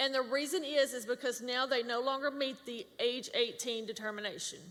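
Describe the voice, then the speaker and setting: A woman speaks loudly at a moderate pace, her pitch high. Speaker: government public affairs specialist. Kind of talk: workshop presentation.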